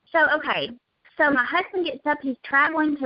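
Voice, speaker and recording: The speaker has a Southern US accent and talks at a moderate pace. Pitch moves up and down in an ordinary way. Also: woman. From US South (Alabama). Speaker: network marketing distributor. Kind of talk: casual chat. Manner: animated.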